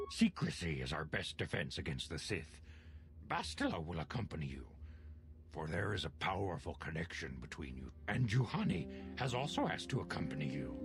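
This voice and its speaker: A put-on character voice from a man, very deep and low, at a fairly quick pace over clear background music. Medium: video game. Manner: solemn, measured.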